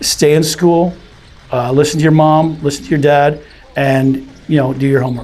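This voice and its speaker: Speech comes at a moderate pace with fairly even intonation over noticeable background noise. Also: man, fairly high pitch for a man. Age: 60s. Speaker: charity representative for veterans. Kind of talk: interview.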